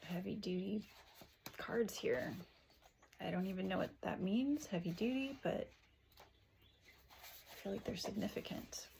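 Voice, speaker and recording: Soft-spoken and somewhat breathy, a woman at medium pitch talks at a fairly slow pace with long, frequent pauses, a dark, mellow tone and ordinary pitch variation. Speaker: tarot reader. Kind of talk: tarot reading.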